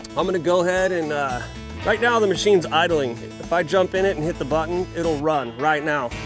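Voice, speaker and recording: Clear music plays behind the voice, which moves at a fairly quick pace with ordinary pitch variation. The sound is dry, with no echo. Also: man. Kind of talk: tutorial. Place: open country.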